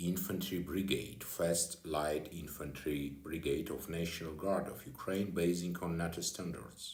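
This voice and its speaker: A man with a non-native accent speaks at a fairly slow pace in a very deep, low voice. His intonation is fairly even, the tone somewhat breathy, and there is audible room echo. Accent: non-native English speaker. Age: 40s. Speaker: security consultant and former deputy minister. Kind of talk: personal video address. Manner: halting.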